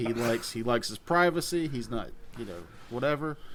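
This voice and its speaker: Lively intonation marks this man's speech. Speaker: podcast co-host. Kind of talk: casual chat. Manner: bangs the table when emphasizing; mouth breather.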